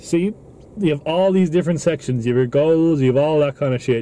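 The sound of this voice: A man speaks with a dark, mellow tone. His pitch varies in an ordinary way.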